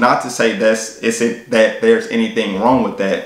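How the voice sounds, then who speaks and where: The voice belongs to a man. Room echo is audible. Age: 30s. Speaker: fitness YouTuber and personal trainer; fitness vlogger. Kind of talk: vlog monologue. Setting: at a work desk. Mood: reflective, earnest. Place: home room.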